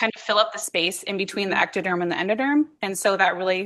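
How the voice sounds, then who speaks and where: The voice is loud. Its tone is bright and sharp. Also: woman, quiet background. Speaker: PhD student researcher giving a talk. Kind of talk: lecture. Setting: workshop talk with audience.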